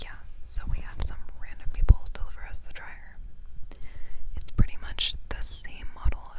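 A soft-spoken woman whispers at a fairly slow pace over loud background noise. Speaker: vlogger. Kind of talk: casual vlog chat. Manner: soft close-mic whisper. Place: car. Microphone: lapel.

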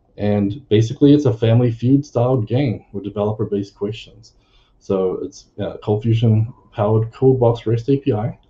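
Dark, mellow, somewhat breathy delivery at a moderate pace with fairly even intonation. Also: man, medium pitch for a man. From New Zealand. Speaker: software consultant; presenter. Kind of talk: conference tech talk. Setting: video call, standing. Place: home room.

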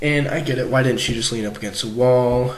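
A man speaks fairly quickly while noticeable background noise runs underneath. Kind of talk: casual commentary video analysis. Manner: casual, hesitant.

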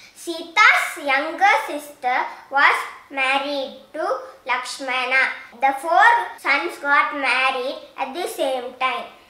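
Over noticeable background noise, a woman speaks very slowly. Her high voice shows ordinary pitch variation. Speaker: storyteller. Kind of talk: scripted children's storytelling, fairy-tale narration. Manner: simple, clear, measured storybook pacing.

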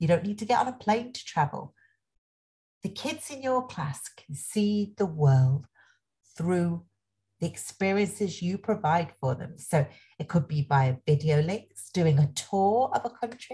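A woman speaks enthusiastically at a fairly slow pace, fairly low in pitch and somewhat breathy, with very wide pitch swings. Her loudness shifts in big swings against a quiet background. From England, Nottingham. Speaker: education speaker, former social worker. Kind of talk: webinar presentation. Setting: online webinar. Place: home room. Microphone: webcam.

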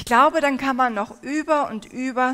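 Against a quiet background, a woman talks at a fairly slow pace with a high pitch. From Turkey. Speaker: preacher. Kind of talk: sermon. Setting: stage with audience. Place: hall. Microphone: headset.

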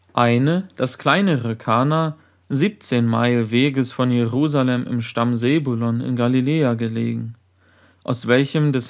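Against a quiet background, a man with a medium pitch talks at a very slow pace with fairly even intonation. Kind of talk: sermon read aloud. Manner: formal, solemn.

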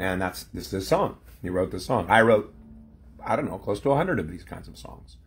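This man's voice sits fairly low and is somewhat breathy, moving at a moderate pace. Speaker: former pastor. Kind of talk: casual vlog chat. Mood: reflective, wry. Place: home room. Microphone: phone near.

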